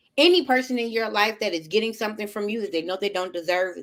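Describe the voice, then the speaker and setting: A woman's medium-pitched voice at a very fast pace with ordinary pitch variation. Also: big swings in loudness. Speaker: life coach. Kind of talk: casual chat.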